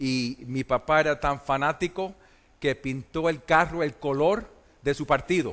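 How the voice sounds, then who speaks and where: A quiet background behind speech with ordinary pitch variation. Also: man. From Puerto Rico, then US from age eight. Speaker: preacher. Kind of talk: conference sermon. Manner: hesitant, many fillers.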